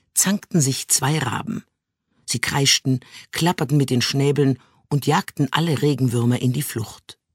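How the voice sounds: Quiet surroundings behind a natural reading voice.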